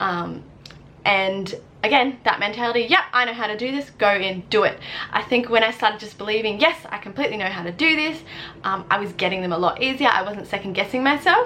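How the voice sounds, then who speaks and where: Lively intonation at a fairly quick pace, over noticeable background noise. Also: woman, fairly high pitch for a woman. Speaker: student midwife. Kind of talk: tutorial. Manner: fast.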